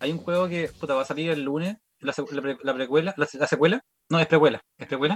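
Talking at a fairly quick pace in a Chilean accent, a man has a fairly high pitch and ordinary pitch variation. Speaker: comedian. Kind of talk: casual chat.

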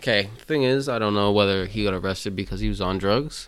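The pace is fairly quick. Pitch varies in an ordinary way. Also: man. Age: 18. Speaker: podcast guest. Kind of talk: casual chat.

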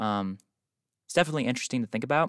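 The speaker has an American accent and talks at a very fast pace with lively intonation. The recording is very clean, with a silent background and a dry, close sound with no echo. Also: man. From US East Coast (the Carolinas, mostly New York). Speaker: podcast host. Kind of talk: solo casual monologue. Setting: parked car. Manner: hesitant, many fillers.

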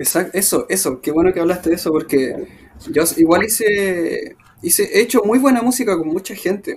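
With a Chilean accent, a man talks at a moderate pace in a high pitch and with lively intonation. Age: 30s. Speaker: musician. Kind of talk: interview. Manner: halting.

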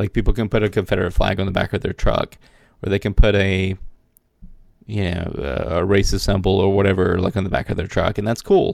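Speaking fairly quickly in an American accent, a man with a plain, everyday voice keeps a fairly low pitch and fairly even intonation. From US South, South Carolina. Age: 30s. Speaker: podcast co-host. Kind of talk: casual chat.

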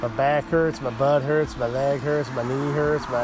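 Against noticeable background noise, a man talks with a fairly high pitch and fairly even intonation. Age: 50s. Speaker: podcast host. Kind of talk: casual solo talk show monologue. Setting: outdoors, front porch. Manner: rambling, jokey, informal.

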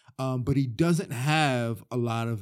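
A man with an American accent speaks in a plain, everyday voice at a medium pitch with ordinary pitch variation, on a very clean recording with a silent background. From Delaware, later Florida. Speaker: mixed martial arts fighter and coach. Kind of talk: casual interview. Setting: studio on gym mats.

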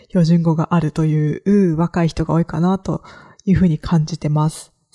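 The recording is very clean and dry, with a silent background, close sound and no echo. A woman speaks at a moderate pace in a dark, mellow, somewhat breathy voice pitched fairly low. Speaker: podcast host, freelance creator. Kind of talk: solo podcast monologue, casual.

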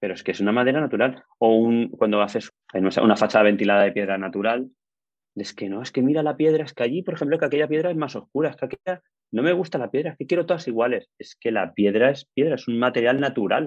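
A man's lively intonation rides on a very fast pace. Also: medium pitch for a man. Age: 40s. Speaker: building engineer and construction manager. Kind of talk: casual interview.

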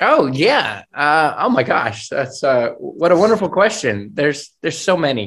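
This man has an American accent and a fairly high pitch. His pitch swings very widely at a moderate pace. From US, Air Force family. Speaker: puppeteer. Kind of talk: casual interview. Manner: halting, many fillers.

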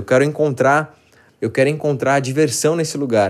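A man's fairly high voice at a moderate pace, an unremarkable speaking voice. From southern Brazil, Porto Alegre. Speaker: band singer. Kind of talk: personal storytelling monologue.

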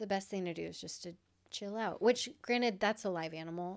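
Here a woman has a normal speaking voice at a medium pitch and a fairly quick pace. The recording is very clean, with a silent background. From Iowa. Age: 30s. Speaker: motorcycle racer and graphic designer. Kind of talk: casual chat.

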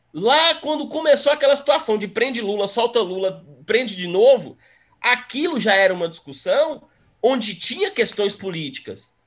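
A high-pitched man's voice in a Minas Gerais accent, with very wide pitch swings. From Minas Gerais, Brazil. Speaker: history teacher. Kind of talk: casual chat.

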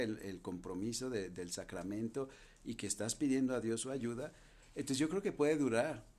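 With a Jalisco accent, a man talks at a medium pitch. His intonation is lively. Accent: Mexican (western, Jalisco). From Mexico, Guadalajara. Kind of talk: podcast interview, explaining.

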